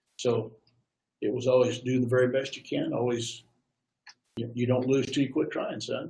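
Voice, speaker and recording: A man's somewhat breathy, medium-pitched voice at a moderate pace, flat and monotone. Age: 70s. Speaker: war veteran. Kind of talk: interview.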